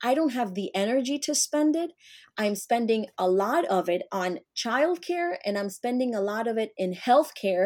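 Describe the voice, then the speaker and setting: In a very clean recording with a silent background, a woman with a Spanish accent speaks at a moderate pace, her fairly high pitch making very wide swings. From Colombia. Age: 40s. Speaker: entrepreneur and consultant. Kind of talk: interview conversation.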